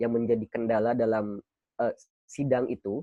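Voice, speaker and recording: A man's voice at a medium pitch. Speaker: student training speaker. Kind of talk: training session talk. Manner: casual, conversational.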